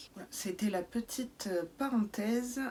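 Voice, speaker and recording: A New Zealand accent at a fairly slow pace. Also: woman. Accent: New Zealand accent when speaking English. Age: 30s. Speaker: YouTuber, beauty box reviewer. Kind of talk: casual Q&A vlog. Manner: frequent hesitations (euh).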